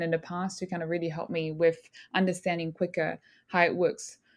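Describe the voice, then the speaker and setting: In a very clean recording with a silent background, a woman speaks at a fairly low pitch with monotone, flat intonation. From southern France, small village. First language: French. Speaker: bakery owner. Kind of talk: interview conversation.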